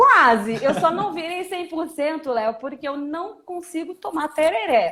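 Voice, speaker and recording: A woman's high-pitched, raised and projected voice with very wide pitch swings, a fairly slow pace and hardly any pauses. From Brasília. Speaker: lawyer, data protection specialist. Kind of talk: live stream interview.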